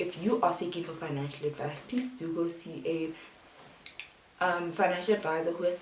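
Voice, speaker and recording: Over noticeable background noise, a woman talks at a fairly quick pace with a fairly low pitch and ordinary pitch variation. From South Africa. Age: 20s. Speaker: student. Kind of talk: casual talk to camera.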